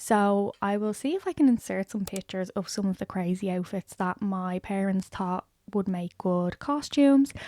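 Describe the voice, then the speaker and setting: A woman with an Irish accent, medium in pitch, dark and mellow in tone, ordinary pitch variation, moderate pace and hardly any pauses, in a dry, close sound with no echo on a very clean recording with a silent background. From Ireland. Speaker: lifestyle and book YouTuber. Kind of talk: casual vlog talk to camera.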